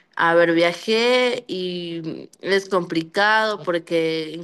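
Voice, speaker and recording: Against a quiet background, a woman speaks at a fairly low pitch with fairly even intonation. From Ecuador. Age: 20s. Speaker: migrant. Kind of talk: testimony. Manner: halting.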